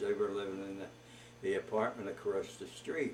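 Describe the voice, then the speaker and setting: A man talks with an American accent. Noticeable background noise and audible room echo surround him. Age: 80s+. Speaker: grandfather telling life story. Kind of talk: oral history interview. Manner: halting, many fillers.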